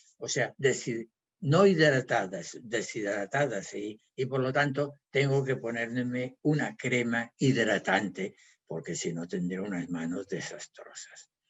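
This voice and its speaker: A man at medium pitch, very slow, with lively intonation. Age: 70s. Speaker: physiotherapist and naturopath. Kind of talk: health talk.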